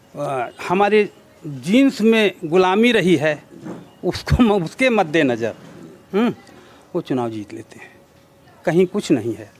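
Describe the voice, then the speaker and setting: Noticeable background noise behind a man's high voice, its pitch swinging very widely. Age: 60s. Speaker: local politician. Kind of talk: interview.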